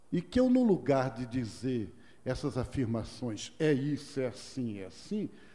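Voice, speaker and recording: A man's somewhat breathy voice, dark and mellow in tone, medium in pitch, with very wide pitch swings at a fairly slow pace. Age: 60s. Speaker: monk and speaker on culture of peace. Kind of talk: lecture. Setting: stage with audience. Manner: conversational.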